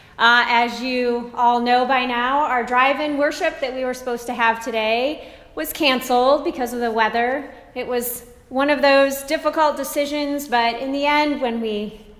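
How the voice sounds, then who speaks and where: There is audible room echo around this woman's voice. She talks at a moderate pace with a high pitch. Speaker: pastor. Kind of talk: announcements to congregation. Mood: warm, friendly. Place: church. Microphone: camera far.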